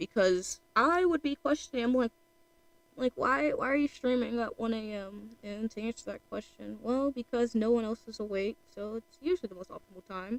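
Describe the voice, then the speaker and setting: A woman with a fairly high pitch talks at a moderate pace, her intonation lively and her loudness swinging widely. The sound is dry and close with no echo, with noticeable background noise. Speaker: streamer drawing art. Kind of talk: casual live stream chat. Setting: home at night, live stream. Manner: quiet, keeping voice down; rambling, hesitant with fillers.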